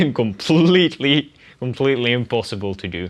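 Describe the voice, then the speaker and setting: A man speaks with a Dutch accent and a bright, sharp tone. The background is quiet. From Netherlands. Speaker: language learner vlogger. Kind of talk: casual vlog monologue.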